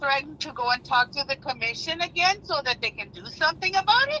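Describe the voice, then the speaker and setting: A woman with a high pitch talks fairly quickly in a raised, projected voice, animated and lively in intonation, with big swings in loudness and hardly any pauses. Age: 60s. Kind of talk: heated debate. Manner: animated, emphatic.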